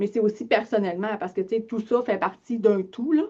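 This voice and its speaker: Pitch moves in an ordinary way while the words come at a fairly quick pace. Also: woman. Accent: Lac-Saint-Jean. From Quebec, Lac-Saint-Jean. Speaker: financial advisor, business owner. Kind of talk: webinar presentation. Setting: online webinar. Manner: casual, many filler words.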